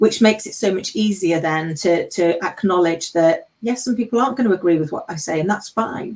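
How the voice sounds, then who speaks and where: With an English accent, a woman of medium pitch speaks at a fairly quick pace with ordinary pitch variation. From England. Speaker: panel co-host. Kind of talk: live panel discussion.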